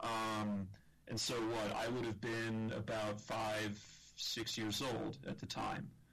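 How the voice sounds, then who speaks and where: In an American accent, a man speaks at a very slow pace with fairly even intonation and very even loudness amid audible room echo. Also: medium pitch for a man. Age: 30s. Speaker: podcast co-host. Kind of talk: casual discussion. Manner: halting.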